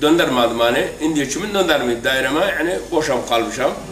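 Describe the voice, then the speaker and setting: A man with a fairly high pitch talks at a moderate pace, with light background noise and audible room echo. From Iraq, Kirkuk area (Turkmen); Iraq. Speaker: former political prisoner. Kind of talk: testimony. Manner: halting. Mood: calm, somber. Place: garden.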